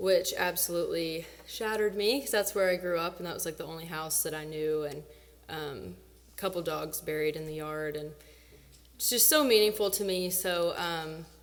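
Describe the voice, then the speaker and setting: Her American accent and fairly low pitch come through at a moderate pace, as this woman shows ordinary pitch variation, big swings in loudness and audible room echo. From Illinois, small town south of Springfield. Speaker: singer-songwriter performer. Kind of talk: stage banter between songs. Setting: stage with audience.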